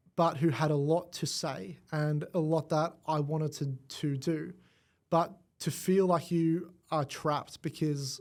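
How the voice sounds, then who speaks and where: On a very clean recording with a silent background, a man with an Australian accent speaks at a fairly slow pace with a fairly high pitch and flat, monotone intonation. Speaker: AV design engineer. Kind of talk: podcast interview answer.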